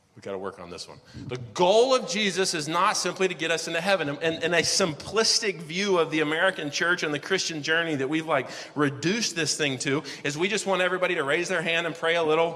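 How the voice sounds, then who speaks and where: The man's voice sits high for a man and moves at a very fast pace. Noticeable background noise runs under it. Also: ordinary pitch variation. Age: 40s. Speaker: pastor. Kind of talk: sermon. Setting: church. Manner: casual and conversational, with fillers.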